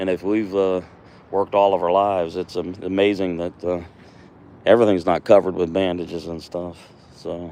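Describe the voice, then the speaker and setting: In an American accent, a man with a very deep, low pitch talks in a relaxed tone and monotone, flat intonation, leaving long, frequent pauses. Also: fairly quick pace. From US East Coast, Virginia. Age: 60s. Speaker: woodcarving livestreamer, retired mail carrier. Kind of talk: casual live stream chat while carving. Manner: relaxed, halting with fillers.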